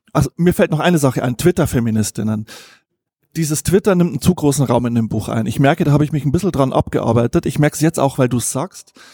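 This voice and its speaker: A man's somewhat breathy, dark and mellow voice at a fairly high pitch, very fast, with ordinary pitch variation and a dry, close sound with no echo. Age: 40s. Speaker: journalist and author. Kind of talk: interview. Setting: restaurant.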